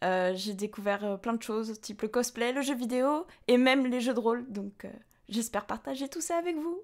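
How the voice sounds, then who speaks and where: On a very clean recording with a silent background, a woman talks at a moderate pace in a fairly high pitch with lively intonation. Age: 20s. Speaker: podcast panelist. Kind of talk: casual chat. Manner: halting.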